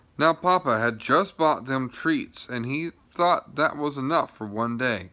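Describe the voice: Simple, plain reading aloud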